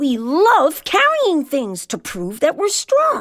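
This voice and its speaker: Using a put-on character voice, a woman speaks at a very slow pace with a high pitch. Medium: read story. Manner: brisk, calling out.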